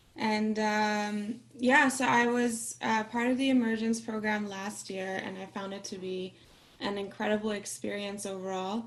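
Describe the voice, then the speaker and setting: A woman's fairly high voice at a fairly slow pace with fairly even intonation, amid audible room echo and noticeable background noise. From Austria. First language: Farsi. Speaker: singer-songwriter. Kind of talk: casual chat.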